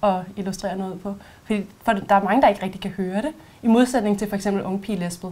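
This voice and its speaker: A woman rattles off her words at a very fast pace with fairly even intonation. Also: medium pitch for a woman. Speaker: voice and speech trainer. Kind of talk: expert explanation.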